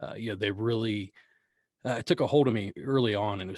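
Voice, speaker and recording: A somewhat breathy man talks very fast in a fairly low pitch with fairly even intonation, the sound dry and close with no echo over a quiet background. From US, Appalachia. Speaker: podcast host interviewed as guest. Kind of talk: casual interview. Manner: halting.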